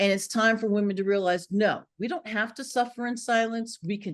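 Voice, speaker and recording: A woman with an American accent talks at a fairly quick pace and medium pitch. Hers is an ordinary speaking voice, against a quiet background. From Philadelphia. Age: 60s. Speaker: author. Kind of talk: interview.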